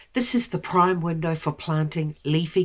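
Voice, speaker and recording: A woman talks with a New Zealand accent at a fairly low pitch. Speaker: gardening and lunar calendar vlogger. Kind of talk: tutorial.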